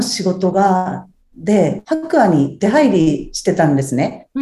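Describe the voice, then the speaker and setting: At a very slow pace, a woman talks in a somewhat breathy voice with a dark, mellow tone. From Japan, Ibaraki (Tsuchiura). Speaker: house cleaning service manager. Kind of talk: interview.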